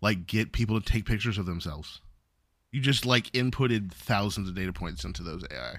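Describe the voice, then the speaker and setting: With lively intonation and vocal fry, the voice moves at a fairly quick pace through big swings in loudness. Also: man, fairly low pitch for a man. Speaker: podcast co-host. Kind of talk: casual chat.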